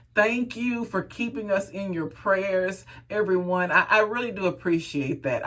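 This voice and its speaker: An animated woman's voice with an American accent, medium in pitch, at a moderate pace, with ordinary pitch variation. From Texas. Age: 50s. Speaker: hair care vlogger. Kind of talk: casual vlog talk.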